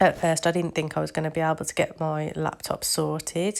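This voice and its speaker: A woman with an English accent and a very deep, low pitch, monotone and flat in intonation at a moderate pace, in a very clean recording with a silent background. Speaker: craft youtuber. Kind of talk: tutorial; casual chat.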